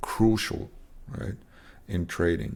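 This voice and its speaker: This man has a very deep, low pitch. His intonation stays fairly even. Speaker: trading educator. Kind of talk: tutorial. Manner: slow; halting, many fillers.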